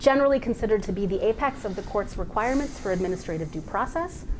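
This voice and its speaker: Talking at a very fast pace and a fairly high pitch, a woman is heard with audible room echo and noticeable background noise. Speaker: legal scholar presenting a paper. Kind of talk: academic conference talk.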